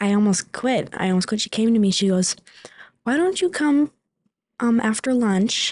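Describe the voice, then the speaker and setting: A somewhat breathy woman speaks at a moderate pace with lively intonation. Long, frequent pauses break up her speech. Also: fairly high pitch for a woman, dry, close sound with no echo. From Superior, Wisconsin, US Upper Midwest. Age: 20s. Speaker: manufacturing worker. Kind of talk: interview.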